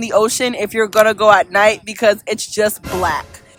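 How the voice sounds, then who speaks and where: A woman's fairly high voice over music in the background. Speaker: lifestyle vlogger. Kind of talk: travel vlog voice memo. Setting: outdoors on a beach. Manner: fast.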